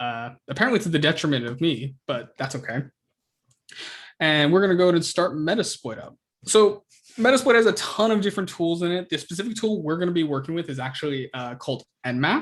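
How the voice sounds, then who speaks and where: Over a quiet background, a man speaks fairly quickly at a high pitch with very wide pitch swings. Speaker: student club workshop presenter; presenter. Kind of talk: tutorial. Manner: fast; casual, hesitant with fillers. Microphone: video call.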